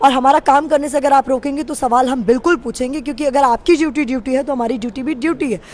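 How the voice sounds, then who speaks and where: With hardly any pauses, a woman with a high pitch talks at a moderate pace with ordinary pitch variation. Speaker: TV news reporter. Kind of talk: interview conversation.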